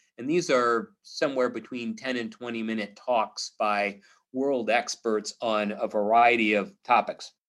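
Against a quiet background, a man talks at a fairly slow pace. His medium-pitched voice keeps a fairly even intonation. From Missouri, US. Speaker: psychologist. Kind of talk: interview. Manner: halting.

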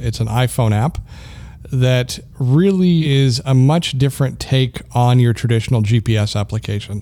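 A man uses a normal speaking voice at a medium pitch and a fairly slow pace. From Canada. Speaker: podcast host, assistive technology specialist. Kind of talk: casual tech podcast chat.

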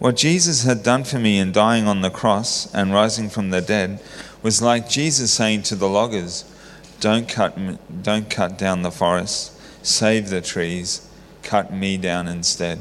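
Fairly low in pitch, a man with an Australian accent speaks at a fairly slow pace with ordinary pitch variation. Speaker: church member sharing testimony. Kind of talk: testimony. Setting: church.

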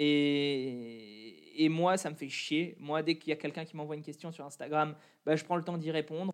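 An ordinary speaking voice moves at a moderate pace with ordinary pitch variation and big swings in loudness against a quiet background. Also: man, fairly high pitch for a man. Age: 20s. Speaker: kendo athlete and fitness coach. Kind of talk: interview.

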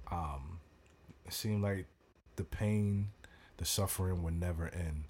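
The recording is very clean, its background silent. A man talks fairly slowly in a very deep, low, somewhat breathy voice. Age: 30s. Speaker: author and law enforcement officer. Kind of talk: casual interview.

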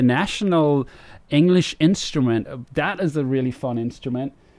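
A man's medium-pitched voice with ordinary pitch variation, in a very clean recording with a silent background. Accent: Danish. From Denmark. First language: Danish. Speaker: video game composer. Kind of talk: interview.

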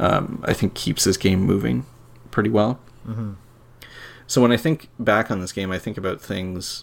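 A man with vocal fry speaks with ordinary pitch variation and long, frequent pauses. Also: fairly low pitch for a man, moderate pace. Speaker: podcast co-host, games writer. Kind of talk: casual chat. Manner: jokey.

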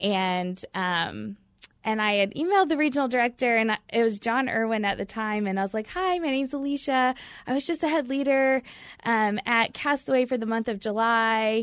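Speaking in an American accent, a woman uses a plain, everyday voice with a fairly high pitch. Her pace is moderate, and the recording is very clean with a silent background. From US Midwest (Batesville, Indiana). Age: 30s. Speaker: youth ministry worker. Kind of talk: radio interview. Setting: studio.

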